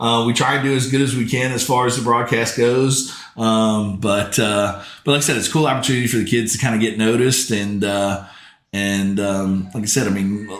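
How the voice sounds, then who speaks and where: With audible room echo around him, a man in an American accent speaks at medium pitch with fairly even intonation. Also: fairly quick pace. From US South, New Orleans. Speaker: football commentator and former quarterback. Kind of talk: casual chat. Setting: podcast recorded at a football field.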